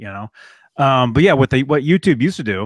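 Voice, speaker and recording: A man's voice with ordinary pitch variation, dry and echo-free, over a quiet background. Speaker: guitarist and YouTuber. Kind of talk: casual chat. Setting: video call. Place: home room. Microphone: studio mic.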